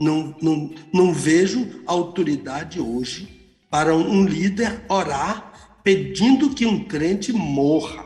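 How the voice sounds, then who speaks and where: This man has a high-pitched voice and speaks at a very slow pace with hardly any pauses. Music plays in the background. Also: lively intonation. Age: 70s. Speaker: pastor and Bible teacher. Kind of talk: radio Bible teaching. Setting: live radio broadcast.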